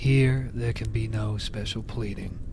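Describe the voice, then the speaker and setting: Noticeable background noise runs beneath a man talking fairly slowly. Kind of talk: soft-spoken ASMR book reading. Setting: recorded with ear-to-ear binaural microphone and campfire sound. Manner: soft-spoken, quiet.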